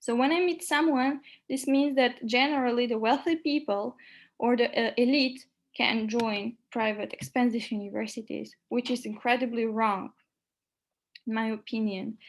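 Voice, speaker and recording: On a very clean recording with a silent background, a woman speaks at a moderate pace in a high pitch with ordinary pitch variation. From North Macedonia. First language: Macedonian and French. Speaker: lecturer. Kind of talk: lecture.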